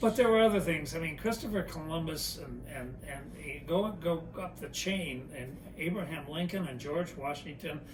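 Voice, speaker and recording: A man at fairly high pitch and moderate pace, with hardly any pauses, ordinary pitch variation and big swings in loudness, amid noticeable background noise and audible room echo. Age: 80s+. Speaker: interviewee. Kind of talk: casual chat.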